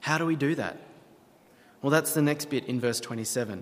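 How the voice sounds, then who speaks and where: This man speaks in an Australian accent at a moderate pace, his pitch fairly high for a man with ordinary variation. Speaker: pastor. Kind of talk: sermon.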